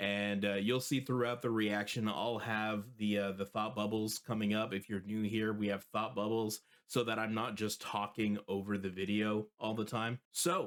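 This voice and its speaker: The delivery is monotone and flat at a moderate pace. There are hardly any pauses, and the loudness stays very even. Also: man, fairly low pitch for a man. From Canada. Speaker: music reaction video host. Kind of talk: casual reaction commentary.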